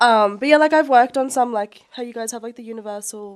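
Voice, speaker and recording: The speaker is a woman with an Australian accent. She talks at a fairly quick pace. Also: very clean recording, silent background. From Australia, Brisbane. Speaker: makeup artist. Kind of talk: casual chat. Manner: hesitant, many fillers.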